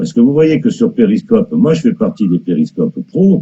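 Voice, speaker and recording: The speaker's tone is dark and mellow, with very wide pitch swings at a moderate pace. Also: man. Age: 60s. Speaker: live streamer. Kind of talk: casual live stream chat. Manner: animated.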